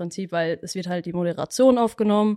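A woman with an unremarkable speaking voice, medium pitch and ordinary pitch variation, in a dry, close sound with no echo and a quiet background. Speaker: media production trainee. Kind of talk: casual chat.

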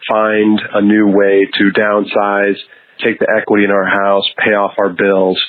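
A man's fairly low voice, monotone and flat in intonation. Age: 40s. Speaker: listener calling in with a question. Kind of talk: recorded voicemail question.

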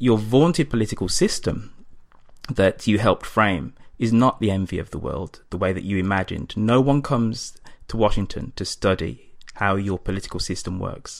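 On a very clean recording with a silent background, a man with an English accent speaks at a moderate pace and a fairly low pitch, with lively intonation. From England. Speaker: podcast host, guest interviewer. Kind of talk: interview discussion on politics. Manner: hesitant with fillers.

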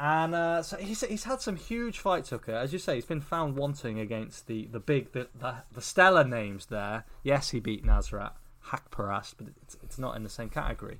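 With an English accent, a man talks at a fairly high pitch with very wide pitch swings, big swings in loudness and hardly any pauses. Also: moderate pace. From England. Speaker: MMA podcast co-host. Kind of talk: casual chat.

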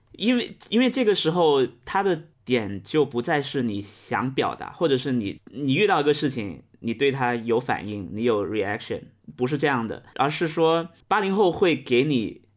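Recorded very cleanly against a silent background, a man with a fairly high pitch talks at a fairly slow pace with very wide pitch swings. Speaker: podcast host guest. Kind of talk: casual chat.

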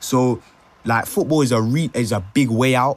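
A man with a London accent and ordinary pitch variation. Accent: London multicultural English. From London (Brent), Ghanaian family. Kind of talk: casual discussion.

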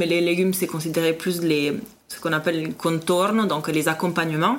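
In an Italian accent, the speaker keeps a fairly even intonation amid noticeable background noise. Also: woman. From Italy, Parma. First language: Italian (speaking French). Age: 30s. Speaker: food podcast guest, expatriate. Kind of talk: casual interview.

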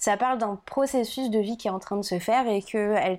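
A woman speaks at a moderate pace with ordinary pitch variation. Her voice is fairly high in pitch, with a dark, mellow tone. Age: 20s. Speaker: podcast guest. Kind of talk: casual chat.

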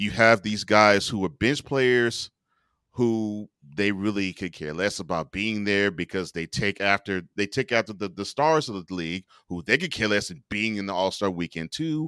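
A man with an American accent and an ordinary speaking voice, fairly low in pitch with ordinary pitch variation and a moderate pace, in a dry, close sound with no echo on a very clean recording with a silent background. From Houston, Texas. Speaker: sports talk show host. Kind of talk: casual chat.

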